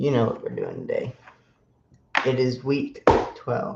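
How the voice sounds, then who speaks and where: A somewhat breathy man with a fairly high pitch, at a very slow pace. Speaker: sports podcast host. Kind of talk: casual sports podcast monologue. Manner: soft-spoken.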